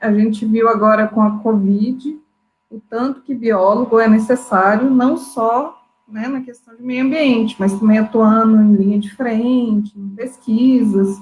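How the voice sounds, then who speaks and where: In a rural Minas Gerais accent, a woman speaks slowly at a fairly high pitch, somewhat breathy and with fairly even intonation. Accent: Minas Gerais interior. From inland Minas Gerais, Brazil. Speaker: biologist. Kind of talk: panel discussion in a live stream. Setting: online live stream.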